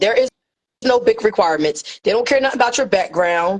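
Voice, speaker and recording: Fairly high female voice at a fairly quick pace, with ordinary pitch variation. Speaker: courier business mentor. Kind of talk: live stream tutorial. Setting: livestream with co-host. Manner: fast.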